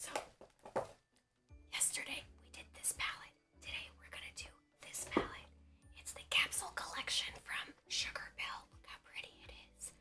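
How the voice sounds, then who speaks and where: A woman whispering at a moderate pace, with long, frequent pauses, big swings in loudness and music in the background. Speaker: makeup artist and beauty vlogger. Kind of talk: casual whispered makeup tutorial to camera. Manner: whispered, hushed.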